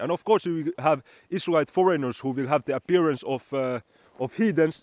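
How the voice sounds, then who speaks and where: A man at a moderate pace with ordinary pitch variation, in a dry, close sound with no echo. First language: Finnish. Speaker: religious teacher. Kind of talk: bible teaching monologue. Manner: halting, repeats words.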